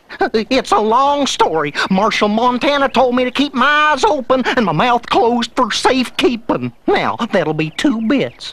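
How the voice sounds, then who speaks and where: A cartoonish character voice in a Western US accent runs at a moderate pace with hardly any pauses, pitched fairly high. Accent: folksy western drawl. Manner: excitable, stammering.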